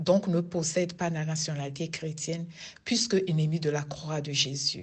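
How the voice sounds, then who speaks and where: Speaking with a Togolese accent, a woman with a fairly low pitch talks at a very slow pace with fairly even intonation. Her voice is somewhat breathy, and audible room echo surrounds it. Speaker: lay preacher, prayer group member. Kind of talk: sermon.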